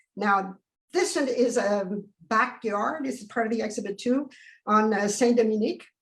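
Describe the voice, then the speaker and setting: A woman's somewhat breathy, fairly high voice shows ordinary pitch variation and big swings in loudness. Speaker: photographer. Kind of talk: presentation over video call. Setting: video call. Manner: fast; halting.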